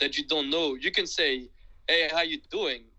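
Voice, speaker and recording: In a French accent, a man speaks at a fairly slow pace. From France. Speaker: guest who studied abroad. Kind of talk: casual interview. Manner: halting.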